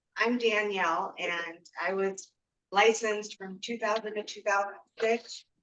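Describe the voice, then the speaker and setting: A woman with an ordinary speaking voice talks at medium pitch and a fairly slow pace, her intonation fairly even but her loudness swinging widely. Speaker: real estate agent. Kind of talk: casual chat.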